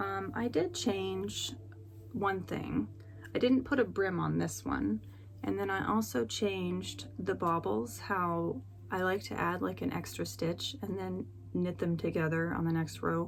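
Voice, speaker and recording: A woman mumbles at a fairly slow pace. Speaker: knitting podcaster and designer. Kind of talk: casual vlog chat. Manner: mumbling.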